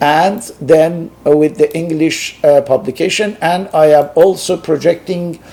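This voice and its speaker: Speaking at a very slow pace with a Persian accent, a man is heard over noticeable background noise. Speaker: sociologist and philosophy researcher. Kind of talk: lecture. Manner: halting, many hesitations.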